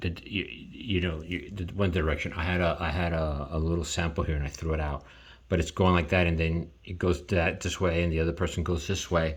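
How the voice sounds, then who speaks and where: A man talks at a moderate pace in a very deep, low voice that is somewhat breathy. His intonation stays fairly even. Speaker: artist and video creator. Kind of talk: drawing tutorial with commentary. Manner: halting, many repetitions.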